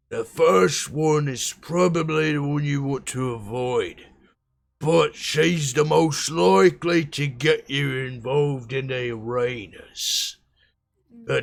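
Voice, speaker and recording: Using a put-on character voice, a man speaks at a fairly high pitch and a fairly slow pace on a very clean recording with a silent background. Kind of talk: rough street talk. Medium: actual play. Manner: gruff, blunt, impatient.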